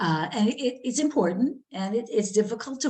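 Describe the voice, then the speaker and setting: A woman's voice comes across as somewhat breathy, with lively intonation. She keeps a moderate pace. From New Jersey. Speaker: magazine editor and author. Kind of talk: workshop talk. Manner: many fillers and restarts.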